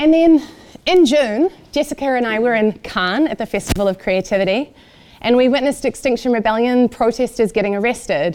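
Speaking at a fairly quick pace with lively intonation, a woman with a New Zealand accent uses a high pitch. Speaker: event organizer. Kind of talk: talk to audience.

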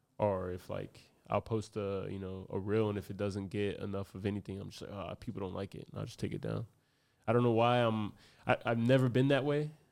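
In a plain, everyday voice, a man with an American accent talks at a fairly quick pace and a fairly low pitch, with big swings in loudness. The recording is very clean, with a silent background. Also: fairly even intonation. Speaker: boxer. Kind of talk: casual chat.

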